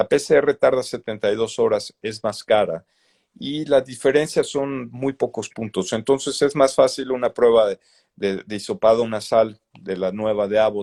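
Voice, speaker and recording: The pace is moderate. The recording is very clean, with a silent background and a dry, close sound free of echo. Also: man. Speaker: doctor. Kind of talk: interview.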